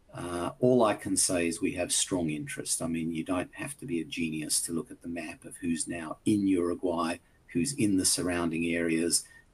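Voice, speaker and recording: A man's very deep, low voice carries ordinary pitch variation and a somewhat breathy quality. He moves at a moderate pace with hardly any pauses. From Australia. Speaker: company executive. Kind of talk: investor presentation Q&A. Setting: virtual conference. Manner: hesitant, many fillers.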